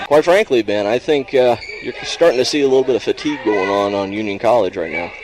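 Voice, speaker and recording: A man's very fast speech at a medium pitch with lively intonation, over noticeable background noise. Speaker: radio sports play-by-play announcer. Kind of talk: live radio sports play-by-play. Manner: fast, energetic.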